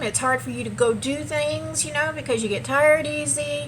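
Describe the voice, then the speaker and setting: A woman talks amid noticeable background noise, and room echo is audible. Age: 60s. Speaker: vlogger. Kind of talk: casual vlog monologue. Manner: casual, halting with fillers.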